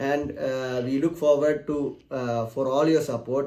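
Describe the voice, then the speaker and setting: With a Keralan accent, a man speaks in a fairly high pitch and a dark, mellow tone. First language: Malayalam. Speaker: technical YouTuber. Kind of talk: channel announcement talk. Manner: halting, many fillers.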